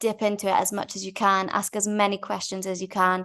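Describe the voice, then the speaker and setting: A woman with a Manchester accent speaks at a moderate pace in a medium pitch, her intonation monotone and flat. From Manchester, England. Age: 20s. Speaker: winery co-owner and nurse. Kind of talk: interview answers.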